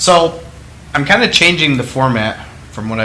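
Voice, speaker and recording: Audible room echo and noticeable background noise fill the recording. A man speaks at medium pitch with ordinary pitch variation. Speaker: entrepreneur hosting own video series. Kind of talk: solo talk to camera. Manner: passionate, animated.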